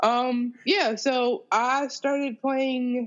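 With an American accent, this woman talks. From Ohio, Akron. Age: 30s. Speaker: musician and composer. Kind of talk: casual interview. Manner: animated.

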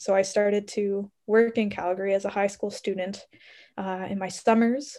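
A woman with a Canadian accent speaks in a dark, mellow tone at a medium pitch and a moderate pace, her intonation monotone and flat, on a very clean recording with a silent background. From Canada, Ontario. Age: 20s. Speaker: medical researcher and medical student. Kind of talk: interview.

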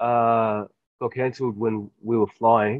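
A man speaks with an Australian accent. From rural New South Wales, Australia. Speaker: professional rugby player. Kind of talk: casual interview chat. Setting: remote call from quarantine.

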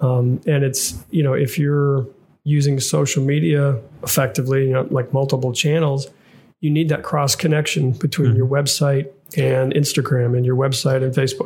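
Speaking at a moderate pace, a man sounds somewhat breathy and keeps his loudness very even. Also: fairly high pitch for a man, fairly even intonation. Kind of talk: casual podcast discussion.

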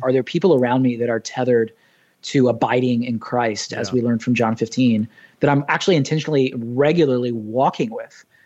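A man with an American accent and a normal speaking voice talks at a fairly quick pace, his medium pitch showing ordinary variation. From US South (Nashville and Orlando). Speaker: pastor. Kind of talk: casual chat.

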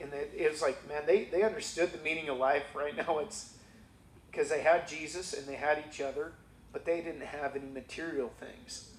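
Speaking at a moderate pace, a man with a plain, everyday voice and a fairly high pitch shows big swings in loudness. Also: fairly even intonation. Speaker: church member sharing testimony. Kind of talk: testimony. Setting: church.

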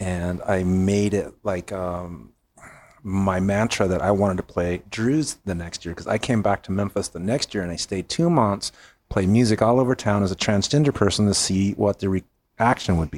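An unremarkable speaking voice from a man with an American accent. His pitch sits fairly low and varies in an ordinary way. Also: moderate pace, dry, close sound with no echo. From California. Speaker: podcast co-host and performer. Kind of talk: casual chat.

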